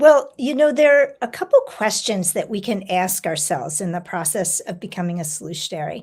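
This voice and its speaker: Speaking fairly quickly with hardly any pauses, a woman sounds somewhat breathy at medium pitch. Her pitch swings very widely, and her loudness shifts a lot. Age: 60s. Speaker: humane education institute president. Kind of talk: podcast interview.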